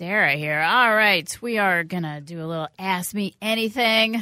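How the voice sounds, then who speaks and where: Animated and enthusiastic, a woman with an American accent speaks at a medium pitch in a very clean recording with a silent background and a dry, close sound free of echo. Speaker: radio host. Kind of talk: casual radio chat. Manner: animated, enthusiastic.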